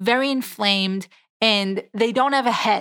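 On a very clean recording with a silent background, a woman speaks at a fairly slow pace with a fairly high pitch and ordinary pitch variation. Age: 30s. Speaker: dietitian and weight loss podcast host. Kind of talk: solo educational podcast monologue.

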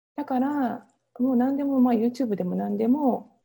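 A high-pitched woman's voice, dark and mellow in tone, with lively intonation at a fairly quick pace. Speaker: Ayurveda coach and entrepreneur. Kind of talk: interview.

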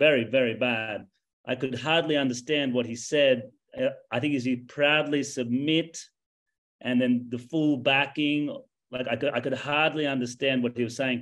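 Medium-pitched man with an Australian accent, moderate pace and fairly even intonation. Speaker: English teacher, contestant. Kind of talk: competitive discussion.

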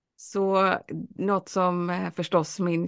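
A woman's voice over a quiet background. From Sweden, Alingsås (West Sweden). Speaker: lecturer on the brain and learning. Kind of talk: interview, casual chat.

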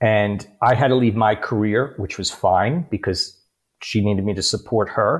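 A man with a New York accent speaks at a fairly low pitch and a moderate pace. The recording is very clean, with a silent background. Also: ordinary pitch variation. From New York City (Bronx, Queens). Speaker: life coach and author. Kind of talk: interview.

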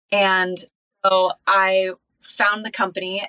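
A woman's medium-pitched voice with a Californian accent, bright and sharp in tone, in a dry, close sound with no echo. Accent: Californian American. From Southern California (Encinitas). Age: young. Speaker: sales leader and life coach. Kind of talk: interview.

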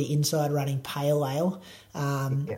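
A man with an Australian accent and a dark, mellow tone. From Australia, Bendigo. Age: 30s. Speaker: runner and podcast host. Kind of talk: casual chat.

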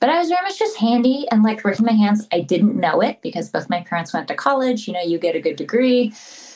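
In an American accent, the speech races along very fast with hardly any pauses. Pitch swings very widely, and there is noticeable background noise. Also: woman, fairly high pitch for a woman. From California. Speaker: muralist and author. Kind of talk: casual interview chat.

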